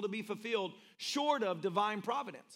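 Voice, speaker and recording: The speaker has a Tennessee accent. The delivery is animated, with lively intonation. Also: man. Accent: Tennessee Southern. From US South, Tennessee. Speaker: pastor. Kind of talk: sermon. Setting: church with live audience.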